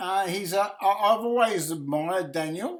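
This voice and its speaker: With an Australian accent, the speaker talks at a fairly slow pace. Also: man. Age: 70s. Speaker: chess streamer and coach. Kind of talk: live game commentary and analysis. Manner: halting, many fillers.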